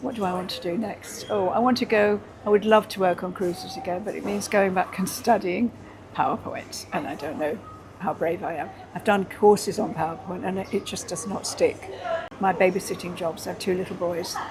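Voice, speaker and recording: Amid noticeable background noise, a woman with medium pitch talks at a fairly quick pace with ordinary pitch variation. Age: 80s+. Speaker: entertainer and dancer. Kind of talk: interview. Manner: halting.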